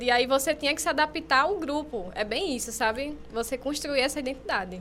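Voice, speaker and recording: Through noticeable background noise, a woman's voice carries ordinary pitch variation at a moderate pace. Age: 20s. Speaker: journalism student podcast co-host. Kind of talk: casual chat. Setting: studio.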